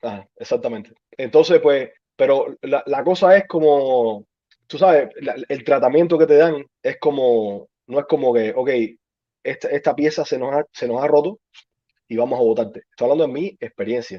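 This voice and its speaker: An ordinary speaking voice at a moderate pace, a man's fairly high pitch with ordinary variation. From Cuba. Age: 30s. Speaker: army veteran. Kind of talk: interview.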